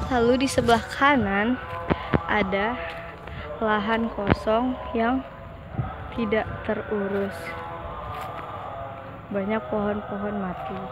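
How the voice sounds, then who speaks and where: Clear music plays in the background as a woman speaks at a very slow pace with long, frequent pauses and ordinary pitch variation, the sound dry with no echo. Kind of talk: casual vlog commentary. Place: street. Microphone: phone near.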